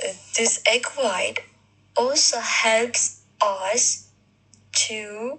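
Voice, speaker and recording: The pace is very slow. She is a woman speaking with a non-native accent. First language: not English. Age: 40s. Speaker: video blogger. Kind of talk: casual monologue. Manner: halting, many fillers.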